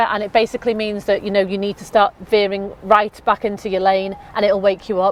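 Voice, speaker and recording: A woman's medium-pitched voice with a Liverpool accent, at a fairly quick pace with hardly any pauses, big swings in loudness and a dry, close sound with no echo. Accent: Scouse (Liverpool). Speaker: car sales presenter. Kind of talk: product walkthrough. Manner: fast; animated.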